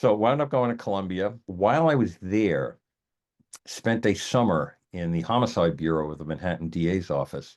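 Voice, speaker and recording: Against a quiet background, a man speaks in a very deep, low voice. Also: lively intonation, moderate pace. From New York City (Queens). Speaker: attorney and arbitrator. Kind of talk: interview.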